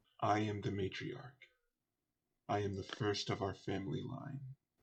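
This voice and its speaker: A man puts on a character voice pitched fairly low. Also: moderate pace. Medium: actual play. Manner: stately, stern.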